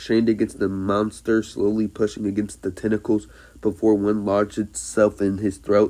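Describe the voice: A plain reading aloud is all this clip offers.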